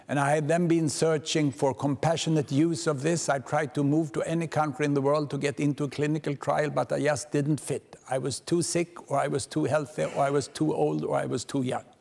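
With hardly any pauses, a man delivers his words at a fairly quick pace in a monotone, flat intonation. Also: very even loudness. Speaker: keynote speaker. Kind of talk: lecture. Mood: personal, warm, wry. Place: hall. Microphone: podium.

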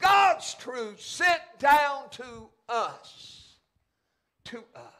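A man speaks at a very slow pace in an extremely high pitch, his voice raised and projected with a bright, sharp tone. His intonation is lively and his tone passionate against a quiet background. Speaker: pastor. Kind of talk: church sermon, preaching to congregation. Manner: emphatic, passionate preaching. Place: church.

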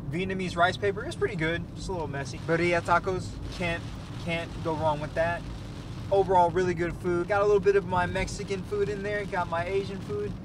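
This man has a high pitch and a fairly quick pace, with fairly even intonation. The sound is dry with no echo, though background noise is noticeable. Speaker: food vlogger. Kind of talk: casual vlog chat. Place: car.

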